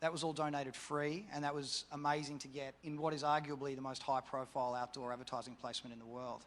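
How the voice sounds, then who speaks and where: With an Australian accent, a man talks at a very fast pace with hardly any pauses, using a fairly high pitch and fairly even intonation. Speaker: campaign organiser. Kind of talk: panel discussion.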